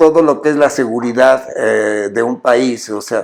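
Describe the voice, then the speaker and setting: Delivery is very slow. The pitch varies in an ordinary way. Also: man. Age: 80s+. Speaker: TV show host. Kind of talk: interview conversation. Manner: halting, many fillers and restarts.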